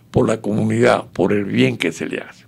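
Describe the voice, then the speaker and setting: A man speaks at a fairly slow pace with a fairly low pitch. Vocal fry is present in his voice. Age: 90s. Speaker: exile political activist. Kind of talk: radio interview.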